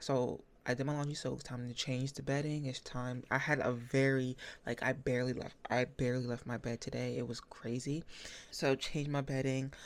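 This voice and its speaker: The woman's pitch is very deep and low, and her intonation is flat and monotone. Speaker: book vlogger. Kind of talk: casual vlog talk. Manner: fast.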